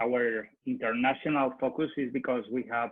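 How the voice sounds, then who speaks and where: Speaking with fairly even intonation, the man keeps to a medium pitch. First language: Spanish. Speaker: marketing manager at a consultancy. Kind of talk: business presentation. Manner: halting, many hesitations.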